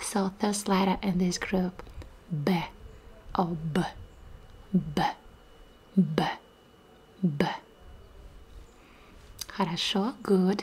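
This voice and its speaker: Soft-spoken and somewhat breathy, a woman speaks at a medium pitch with fairly even intonation. Her pace is very slow, with long, frequent pauses. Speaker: Russian language teacher. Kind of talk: ASMR language lesson. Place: home room. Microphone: studio mic.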